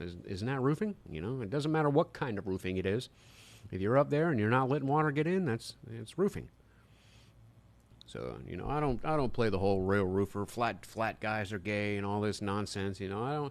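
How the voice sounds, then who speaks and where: The background is quiet. A man with fairly low pitch talks at a fairly quick pace with lively intonation. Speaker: roofer live-streaming. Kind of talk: live stream Q&A chat. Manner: casual, hesitant with fillers.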